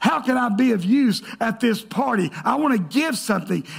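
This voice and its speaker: A loud, animated man at an extremely high pitch, with lively intonation and a moderate pace. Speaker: pastor. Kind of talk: sermon. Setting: church.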